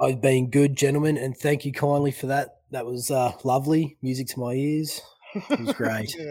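This man has an Australian accent and a fairly high pitch. He talks at a moderate pace with fairly even intonation. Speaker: podcast guest. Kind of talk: casual chat.

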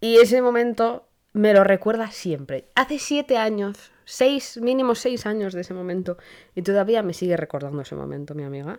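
Lively intonation marks this woman's speech. Her pitch is medium and her pace is moderate. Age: 20s. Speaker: podcast host. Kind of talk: casual monologue. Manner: hesitant, many fillers.

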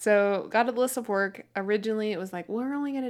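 On a very clean recording with a silent background, a woman with an ordinary speaking voice talks at a moderate pace, her medium pitch set in fairly even intonation. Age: 20s. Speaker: podcast co-host. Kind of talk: casual chat. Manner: laughs often.

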